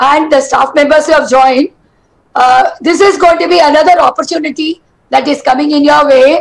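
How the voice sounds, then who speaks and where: Against a quiet background, a woman with a high-pitched voice speaks at a moderate pace with fairly even intonation. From India. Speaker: college principal. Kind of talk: welcome address. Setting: video call. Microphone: headset.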